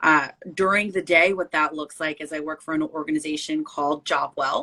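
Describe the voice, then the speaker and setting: A woman's fairly low voice, bright and sharp in tone, flat and monotone at a moderate pace, in a dry, close recording with no echo. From northern New Jersey, Essex County. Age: 30s. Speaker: diversity consultant and podcast guest. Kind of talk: interview conversation.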